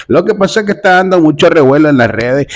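The man talks at a very fast pace with ordinary pitch variation. Behind him the background is quiet. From Nicaragua. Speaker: comedic commentary video host. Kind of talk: casual commentary monologue. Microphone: phone near.

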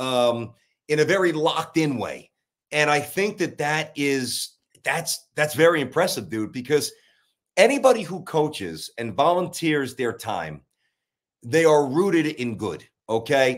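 A man speaks with a New York accent and lively intonation. The background is quiet. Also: fairly high pitch for a man. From Brooklyn, New York. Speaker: sports talk radio host. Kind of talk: casual chat interview. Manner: fast, animated. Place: home room.

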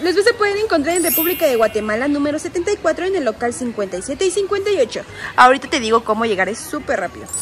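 The voice moves at a moderate pace, with faint music in the background. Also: woman. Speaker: shopping vlogger. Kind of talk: casual vlog chat. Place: shop. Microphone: phone near.

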